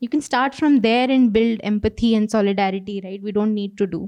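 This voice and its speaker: Against a quiet background, a woman with an Odisha accent speaks at a fairly quick pace in a dark, mellow tone with ordinary pitch variation. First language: Odia. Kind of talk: panel conversation. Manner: hesitant, many fillers.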